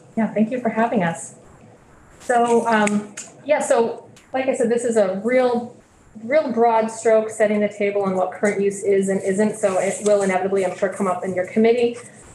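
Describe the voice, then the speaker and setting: A woman talks at a moderate pace with fairly even intonation, amid light background noise and audible room echo. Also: fairly high pitch for a woman. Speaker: state tax division director. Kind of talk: committee testimony. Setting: legislative committee room. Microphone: video call.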